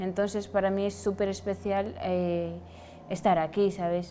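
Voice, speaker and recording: A woman's medium-pitched voice, dark and mellow in tone, fairly slow and monotone with flat intonation. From Senegal. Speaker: fashion model. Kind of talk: casual chat.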